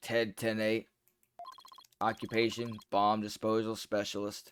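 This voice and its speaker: A man puts on a robotic character voice at a medium pitch. He speaks at a fairly slow pace with monotone, flat intonation. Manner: flat, mechanical.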